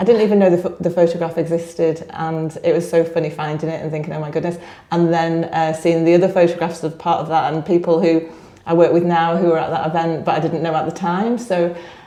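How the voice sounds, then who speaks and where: Amid noticeable background noise and audible room echo, a woman talks very fast in a fairly low, monotone voice. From northern England, Blackpool. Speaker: business network director. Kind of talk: podcast interview.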